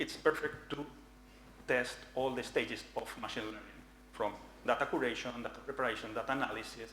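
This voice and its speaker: A man speaks at a fairly quick pace with long, frequent pauses. His voice sits at a medium pitch with fairly even intonation, and audible room echo surrounds it. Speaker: researcher presenting at a conference. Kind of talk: conference talk. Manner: fast.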